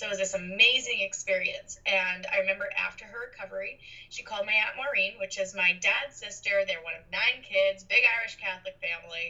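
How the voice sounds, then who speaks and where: Speaking with an American accent, a woman goes at a fairly quick pace with hardly any pauses and big swings in loudness, over noticeable background noise. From Boston, Massachusetts. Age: 20s. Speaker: professional medium. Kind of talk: interview.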